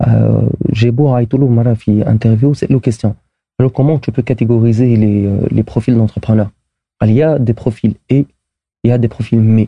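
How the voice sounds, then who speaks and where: This man's voice is somewhat breathy, with fairly even intonation and very even loudness. He keeps a fairly quick pace. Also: medium pitch for a man. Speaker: startup co-founder. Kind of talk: casual interview.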